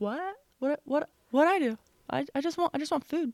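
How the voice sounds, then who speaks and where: A woman puts on a character voice. It is whiny and high-pitched. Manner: pitiful, whiny.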